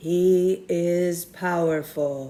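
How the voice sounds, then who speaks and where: A put-on character voice is delivered at middle pitch. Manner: growling.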